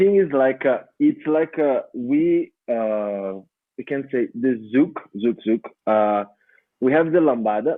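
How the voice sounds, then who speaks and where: Medium-pitched male voice with a Brazilian Portuguese accent, lively intonation and a very slow pace. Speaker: dance teacher and choreographer. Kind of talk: podcast interview answer.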